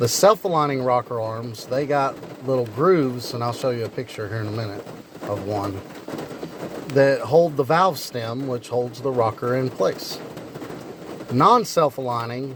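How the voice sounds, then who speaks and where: A man's fairly slow speech with long, frequent pauses over noticeable background noise. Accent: rural Kentucky. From Kentucky. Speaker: car mechanic YouTuber. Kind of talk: casual tutorial. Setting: garage, partly outdoors in rain.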